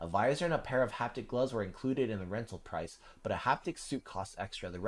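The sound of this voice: The speaker uses an unforced reading voice.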